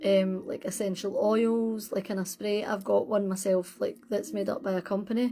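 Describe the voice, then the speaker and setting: A woman's medium-pitched voice in a Scottish accent, relaxed in tone with fairly even intonation, over music in the background. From Scotland. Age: 40s. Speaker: witchcraft content creator. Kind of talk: casual livestream chat. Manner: relaxed, hesitant with fillers.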